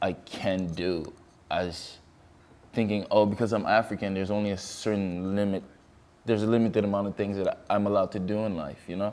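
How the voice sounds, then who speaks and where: A man's fairly low, monotone voice with flat intonation at a fairly quick pace. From Ivory Coast, raised in Canada. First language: French. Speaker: fashion model. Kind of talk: interview.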